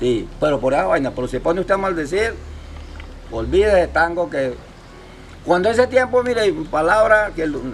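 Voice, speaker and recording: At a high pitch, a man talks with very wide pitch swings and long, frequent pauses. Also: moderate pace. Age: 70s. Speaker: fisherman and local elder. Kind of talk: interview, storytelling. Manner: halting, many repetitions.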